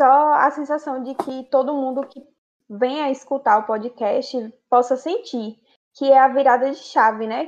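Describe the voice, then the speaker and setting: A woman's high-pitched voice at a fairly slow pace, with fairly even intonation and big swings in loudness. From Conceição do Coité, Bahia, Brazil. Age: 20s. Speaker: podcast co-host, friend. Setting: remote recording.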